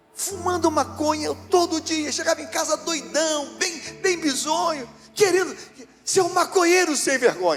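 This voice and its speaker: With music in the background, a man speaks at a fairly slow pace, his extremely high pitch kept in fairly even intonation. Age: 70s. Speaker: pastor. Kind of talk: sermon.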